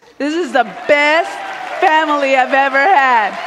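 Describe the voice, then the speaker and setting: Amid crowd noise and audible room echo, a woman speaks at a high pitch. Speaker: art teacher. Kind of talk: keynote speech. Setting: stage with audience.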